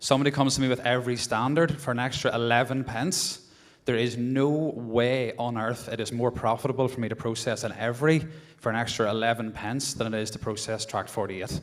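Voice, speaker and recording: A man with a Northern Irish accent speaks at a fairly quick pace, at medium pitch, with fairly even intonation. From Northern Ireland. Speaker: postmaster in audience. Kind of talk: heated debate. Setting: conference hall with audience.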